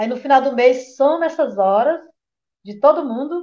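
A woman talks at a high pitch with lively intonation. Her pace is fairly slow. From Brazil, Piauí (Oeiras). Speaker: waste picker, recycling cooperative worker. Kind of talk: interview conversation.

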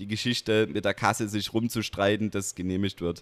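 A man with a fairly low voice speaks in a flat monotone. The sound is dry and close with no echo, recorded very cleanly over total silence. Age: 20s. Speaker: wheelchair basketball player and student. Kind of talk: interview conversation. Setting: gaming bar.

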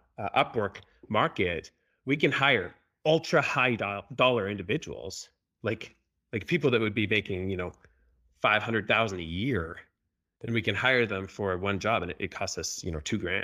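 Against a silent background in a very clean recording, a man with a fairly low pitch and a bright, sharp tone speaks at a moderate pace with lively intonation and long, frequent pauses. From Canada. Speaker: software company CEO. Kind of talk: casual interview. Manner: repeats words, restarts sentences.

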